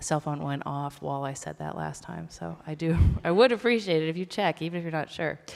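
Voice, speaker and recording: Over music in the background, a woman with a very deep, low pitch speaks at a very fast pace. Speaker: festival organizer. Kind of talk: event introduction. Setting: stage with audience.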